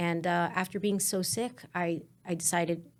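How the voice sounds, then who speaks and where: In a Spanish accent, a woman speaks at a fairly low pitch with fairly even intonation on a very clean recording with a silent background. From New Jersey, Newark area. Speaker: business owner. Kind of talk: podcast interview.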